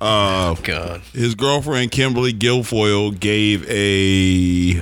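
Here is a man with an unremarkable speaking voice and an American accent. His pitch is fairly low, with ordinary pitch variation. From Oklahoma. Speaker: podcast host. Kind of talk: casual chat.

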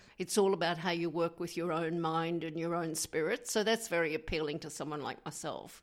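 Someone with an Australian accent talks at a fairly quick pace with fairly even intonation and hardly any pauses, in a very clean recording with a silent background. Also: woman, fairly low pitch for a woman. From Queensland, Australia. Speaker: memoir author. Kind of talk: radio interview.

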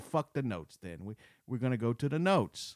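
A man with an American accent speaks in a plain, everyday voice at medium pitch and a moderate pace, his intonation lively, in a dry, close recording with no echo that is very clean against a silent background. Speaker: filmmaker. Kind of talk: casual chat.

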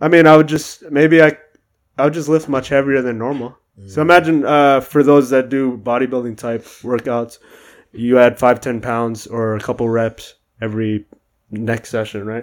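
A man at a medium pitch and moderate pace, with big swings in loudness. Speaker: podcast guest. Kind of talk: casual chat. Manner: monotone; mumbles.

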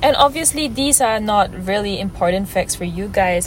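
Music plays in the background as a woman speaks at a fairly quick pace amid audible room echo. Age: 20s. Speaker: podcast host. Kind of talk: casual monologue. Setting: on the go, in transit. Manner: unstructured, with stumbles.

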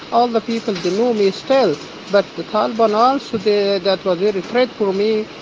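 Against noticeable background noise, a man with an Afghan accent speaks at a moderate pace in a high pitch. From Afghanistan. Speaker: refugee doctor. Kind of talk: testimony. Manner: halting.

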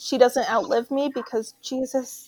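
The woman's voice is high-pitched, with a dark, mellow tone. She keeps her intonation fairly even. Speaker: podcast co-host, sex worker. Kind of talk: casual chat.

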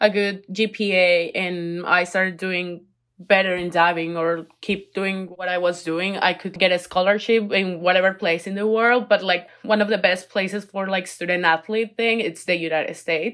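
A woman speaks at a moderate pace with a fairly low pitch, a fairly bright tone and fairly even intonation.

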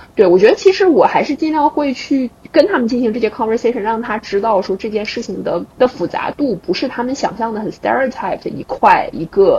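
The voice moves at a fairly quick pace with hardly any pauses. Its pitch swings very widely amid noticeable background noise. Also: woman, high pitch for a woman. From Dalian, northeast China. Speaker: podcast host. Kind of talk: casual chat.

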